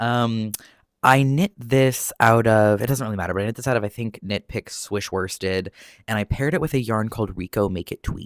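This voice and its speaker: A soft-spoken man talks at a fairly quick pace with a medium pitch and ordinary pitch variation. The recording is very clean with a silent background, and the sound is dry and close with no echo. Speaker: knitting youtuber. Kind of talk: casual chat. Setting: at home, window open. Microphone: new proper microphone.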